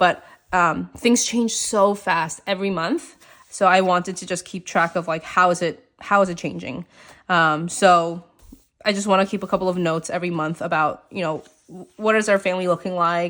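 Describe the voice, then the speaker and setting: A woman speaks in a plain, everyday voice at a medium pitch and moderate pace. Her intonation is fairly even, on a very clean recording with a silent background. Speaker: planner and journaling vlogger. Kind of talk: casual chat. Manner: casual, filler-heavy.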